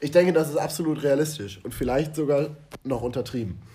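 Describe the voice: Here a man talks at a fairly quick pace. His fairly high voice has a dark, mellow tone. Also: ordinary pitch variation.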